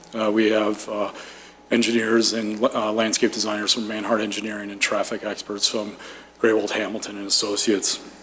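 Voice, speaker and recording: Speech at a very fast pace comes through with noticeable background noise. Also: man. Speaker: developer representative presenting to planning commission. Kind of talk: formal presentation at public meeting. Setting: municipal commission meeting room.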